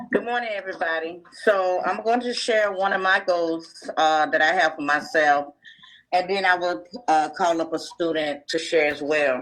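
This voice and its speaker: Pitched fairly low, a woman talks at a moderate pace with ordinary pitch variation. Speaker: teacher. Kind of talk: casual talk.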